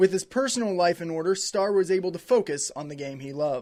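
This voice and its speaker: Energetic in tone, the speaker moves along at a fairly quick pace. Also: man. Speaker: TV sports reporter and sports director. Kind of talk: TV sports news reporting, reel. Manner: narrating feature story voiceover, energetic on game calls.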